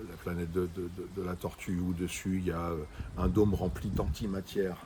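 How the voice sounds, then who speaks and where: With a very deep, low pitch and a dark, mellow tone, a man speaks at a moderate pace with fairly even intonation. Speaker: book review video host. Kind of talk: casual chat reviewing books. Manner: loud.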